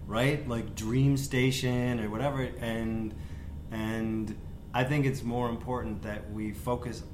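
Someone with an American accent talks at a very slow pace with fairly even intonation, amid audible room echo and noticeable background noise. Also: man, medium pitch for a man. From US Midwest, Wisconsin (West Bend). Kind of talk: casual chat.

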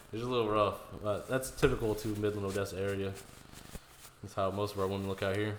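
A man's fairly low, monotone voice with flat intonation and an American accent, very fast in pace yet broken by long, frequent pauses, with audible room echo. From Houston, Texas. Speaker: podcast host. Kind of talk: casual chat.

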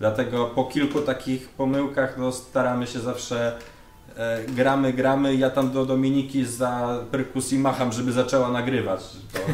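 Against noticeable background noise, a man speaks in a medium pitch at a moderate pace with monotone, flat intonation. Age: young. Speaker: metal band drummer. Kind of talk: casual interview chat.

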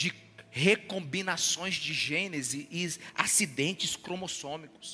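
Very slowly, a man talks in a voice pitched high for a man. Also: ordinary pitch variation. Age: 40s. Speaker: pastor. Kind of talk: sermon.

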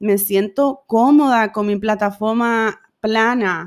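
On a very clean recording with a silent background, a woman with a fairly high voice speaks very slowly with fairly even intonation. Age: 30s. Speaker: podcast host. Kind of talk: personal monologue.

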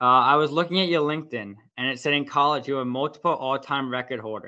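A man with a normal speaking voice, fairly high in pitch, with fairly even intonation. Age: young. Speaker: podcast host. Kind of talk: interview.

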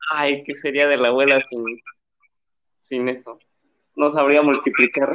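At a fairly high pitch, a man speaks fairly slowly in a flat monotone, his tone bright and sharp, with long, frequent pauses. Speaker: podcast co-host. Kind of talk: casual chat.

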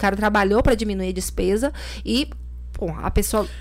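A woman talks at a fairly quick pace while noticeable background noise carries on behind her. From Bahia, Brazil. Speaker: lawyer and political activist. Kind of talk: podcast interview.

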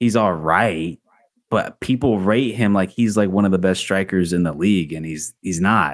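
A man with a plain, everyday voice speaks at a fairly slow pace, his fairly low pitch showing ordinary pitch variation. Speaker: podcast host. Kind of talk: casual sports podcast chat. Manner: casual, interrupts often.

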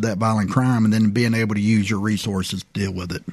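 A man with an Alabama accent speaks at a medium pitch with fairly even intonation. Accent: US Southern (Alabama). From Prichard, Alabama. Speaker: police chief. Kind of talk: radio interview.

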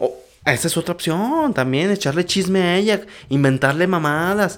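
This man speaks with a Mexican accent, his pitch high and his pace moderate. His tone is animated and his intonation lively. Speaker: podcast host. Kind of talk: casual monologue.

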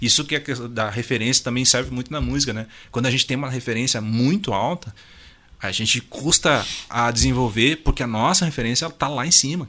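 Here a man with a southern Brazilian accent speaks at a fairly quick pace in a medium pitch, with ordinary pitch variation. His tone is bright and sharp, and the recording is very clean with a silent background. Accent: gaúcho Brazilian Portuguese. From Rio Grande do Sul, Brazil. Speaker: musician and music producer. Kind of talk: casual interview. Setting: radio studio.

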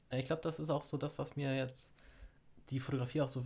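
A man speaks fairly quickly in a somewhat breathy voice. His pitch varies in an ordinary way. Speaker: podcast co-host. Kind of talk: casual chat.

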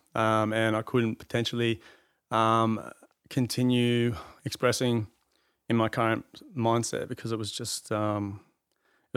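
Over a silent background in a very clean recording, a man with a medium-pitched voice talks at a moderate pace in a monotone, flat delivery. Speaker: painter. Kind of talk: casual chat. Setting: studio.

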